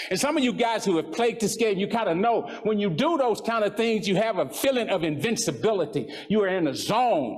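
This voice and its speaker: Over noticeable background noise, a man with an American accent talks at a fairly quick pace and a high pitch, with lively intonation, an animated tone and hardly any pauses. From West Texas. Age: 70s. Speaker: motivational speaker, former coach. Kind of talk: motivational speech.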